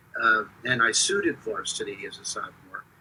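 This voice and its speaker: A man speaks with an American accent. Noticeable background noise runs throughout. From Philadelphia area, US. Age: 70s. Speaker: stadium public address announcer. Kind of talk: interview, casual chat. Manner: hesitant, many fillers.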